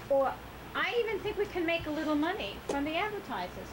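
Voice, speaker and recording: A woman's high voice, fairly quick and lively in intonation, over noticeable background noise. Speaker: board director. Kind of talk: board meeting presentation. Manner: soft-spoken.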